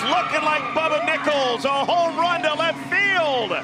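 Over loud background noise, a man talks in a raised, projected voice at an extremely high pitch. His tone is animated and playful, with ordinary pitch variation. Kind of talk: live sports commentary. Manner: animated and playful, with laughs and quips.

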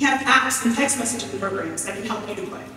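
Strong room echo and light background noise surround a fairly quick delivery with ordinary pitch variation. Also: woman. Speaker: public health professor and researcher. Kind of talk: prepared speech. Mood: earnest, encouraging. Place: hall.

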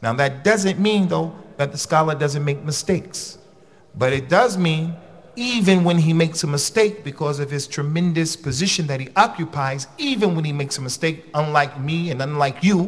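This man talks at a moderate pace with ordinary pitch variation. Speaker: religious teacher. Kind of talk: lecture. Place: hall. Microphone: podium.

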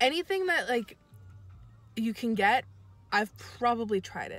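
Faint music plays in the background while a woman speaks, in a dry sound with no echo. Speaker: vlogger. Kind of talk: casual vlog chat. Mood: open, hopeful. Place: car. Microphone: phone near.

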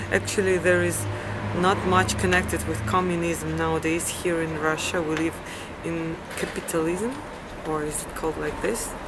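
Loud background noise fills the clip. Through it, a woman speaks at a moderate pace. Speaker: vlogger. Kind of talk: casual vlog chat. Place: street. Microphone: phone near.

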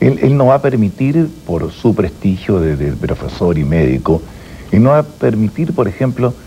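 Amid light background noise, a man with a fairly low voice speaks at a moderate pace, his pitch swinging very widely. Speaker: interview guest. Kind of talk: interview answer, conversational. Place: studio.

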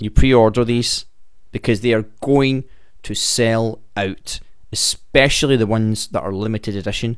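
Over a quiet background, a man speaks at a moderate pace with fairly even intonation. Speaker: wrestling fan news host. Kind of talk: casual news commentary. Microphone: studio mic.

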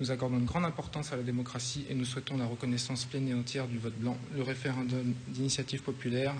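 A somewhat breathy man rattles along at a very fast pace with hardly any pauses, his intonation monotone and flat and his loudness very even, over light background noise. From France. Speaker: parliamentary candidate. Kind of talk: televised political debate. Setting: TV studio. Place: studio.

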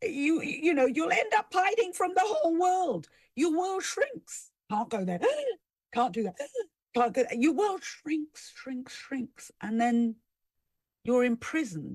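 A put-on character voice speaks high, with very wide pitch swings. The pace is fairly slow, with long, frequent pauses. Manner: motherly, warning.

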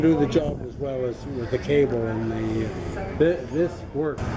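Noticeable background noise is present throughout. A man talks very slowly, his pitch varying in an ordinary way. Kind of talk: informal explanation to visitor. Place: tent. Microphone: phone near.

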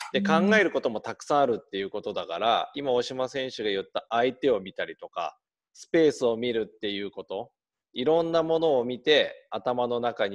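A man speaking at a fairly quick pace with big swings in loudness, over a quiet background. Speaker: youth football coach. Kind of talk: explanation to kids on a call. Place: home room. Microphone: video call.

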